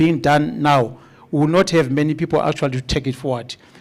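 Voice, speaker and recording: With ordinary pitch variation and a fairly quick pace, the clip presents an ordinary speaking voice. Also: man. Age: 50s. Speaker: agricultural researcher. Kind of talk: conference presentation.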